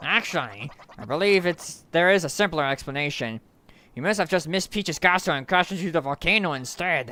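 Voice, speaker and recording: At a fairly quick pace, a put-on character voice speaks at a middle pitch. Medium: virtual streamer. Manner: reading text aloud.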